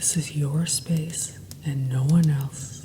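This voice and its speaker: A woman with a very deep, low pitch talks with fairly even intonation amid noticeable background noise. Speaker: hypnotherapist and meditation guide. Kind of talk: guided meditation. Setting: background sounds.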